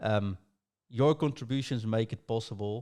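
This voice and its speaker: This man has a Dutch accent and a fairly low pitch, with a dark, mellow tone. He talks at a moderate pace in a very clean recording with a silent background. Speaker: podcast host. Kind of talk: casual podcast chat.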